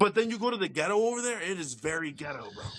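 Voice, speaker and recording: A man talks at a very fast pace with a slight New Jersey accent. His pitch swings very widely. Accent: light New Jersey. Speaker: podcast host. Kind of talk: casual chat.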